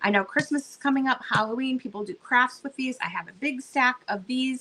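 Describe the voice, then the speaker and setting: A woman speaks in a raised, projected voice at a high pitch. Her intonation is lively and her pace moderate. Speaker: online live sale seller. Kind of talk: live selling stream. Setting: livestream, alone. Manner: chatty, animated.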